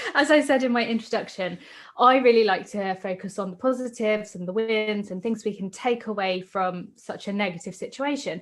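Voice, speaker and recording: A woman with a British accent, fairly high pitch, and a fairly quick pace. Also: ordinary pitch variation. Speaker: podcast host. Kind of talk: casual chat.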